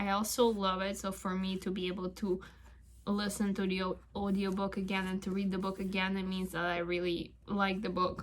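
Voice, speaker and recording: A woman talks at a medium pitch and a moderate pace. Her voice is somewhat breathy. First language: not English (English is third language). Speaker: tarot video creator. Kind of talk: casual vlog talk. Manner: hesitant, with fillers.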